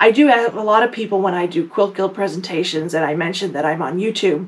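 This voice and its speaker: Lively intonation marks this woman's speech over noticeable background noise. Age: 50s. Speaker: quilting YouTuber. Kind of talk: casual talk to camera. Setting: home basement recording room. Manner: fast; filler words, says um often.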